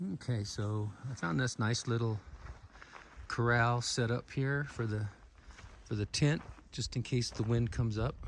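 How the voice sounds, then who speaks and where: A somewhat breathy man's voice at a fairly slow pace, with ordinary pitch variation. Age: 70s. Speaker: wilderness patrol volunteer and vlogger. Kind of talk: casual vlog narration. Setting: outdoors. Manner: halting.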